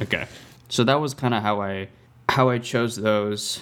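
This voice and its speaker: This man has an ordinary speaking voice, pitched in the medium range. He keeps a moderate pace with ordinary pitch variation. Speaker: podcast host, film student. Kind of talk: casual chat.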